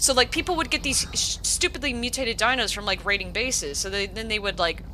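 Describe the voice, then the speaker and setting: A woman's high-pitched voice with an American accent, very fast pace and lively intonation, over noticeable background noise. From US South. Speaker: gaming streamer. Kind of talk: casual chat.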